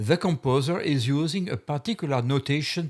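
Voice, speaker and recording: A man with a Belgian accent, fairly high in pitch, at a fairly slow pace. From Belgium. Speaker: music software tutor. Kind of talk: software tutorial narration.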